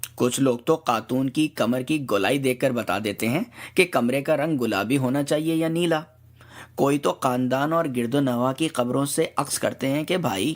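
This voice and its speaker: An unremarkable speaking voice from a man, medium in pitch, with ordinary pitch variation. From Karachi, Pakistan. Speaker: blogger, satire writer. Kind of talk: humorous satirical essay reading.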